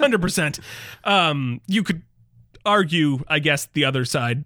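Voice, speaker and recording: A man with an American accent speaks at a moderate pace in a fairly high pitch. His tone is bright and sharp, with lively intonation. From Michigan. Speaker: podcast co-host. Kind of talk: casual chat.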